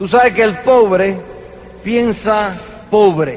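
Against noticeable background noise, a high-pitched man speaks with ordinary pitch variation. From New York, Cuban-American family. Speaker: network marketing leader. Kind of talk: motivational speech. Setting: convention stage with audience.

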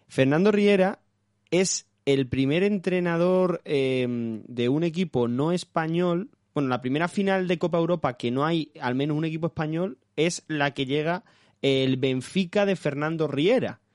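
Over a quiet background, a man with an ordinary speaking voice talks at fairly high pitch with ordinary variation, the sound dry and close with no echo. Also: fairly slow pace. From Málaga, southern Spain. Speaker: podcast host. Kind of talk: interview.

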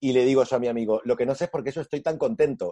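In a dry, close sound with no echo, a man speaks with a dark, mellow tone. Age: 40s. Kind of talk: casual chat.

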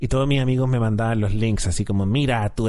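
A man's voice with a dark, mellow tone and audible room echo. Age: 30s. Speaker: podcast host. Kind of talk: casual chat.

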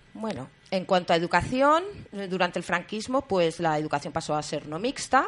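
An ordinary speaking voice from a woman, fairly low in pitch, delivered at a moderate pace with lively intonation. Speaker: community radio host. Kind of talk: radio magazine show.

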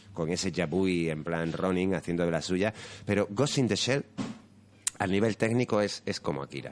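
This man has a very deep, low pitch with ordinary pitch variation. He talks at a moderate pace. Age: 30s. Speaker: anime and manga enthusiast. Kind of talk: casual chat.

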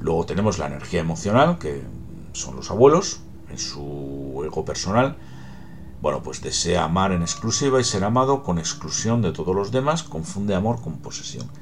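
Music plays behind a man whose very deep, low voice swings very widely in pitch at a moderate pace, with audible room echo. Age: 50s. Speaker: podcaster on psychology and genealogy. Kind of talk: solo talk, explanatory monologue.

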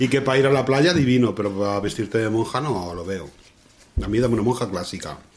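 A man's very fast speech at a medium pitch, with lively intonation. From Spain, La Mancha. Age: 40s. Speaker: podcast host. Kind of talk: casual chat.

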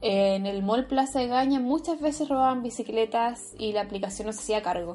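A woman with a Chilean accent talks at a fairly quick pace with fairly even intonation. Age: 20s. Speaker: university student, food delivery worker. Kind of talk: interview testimony.

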